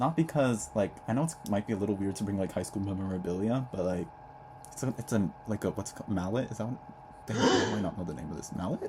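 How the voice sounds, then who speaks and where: A man talks at a very fast pace in a fairly low pitch, his intonation lively. Noticeable background noise sits behind him. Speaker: vlogger, incoming college student. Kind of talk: casual vlog monologue. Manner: casual, chatty with fillers.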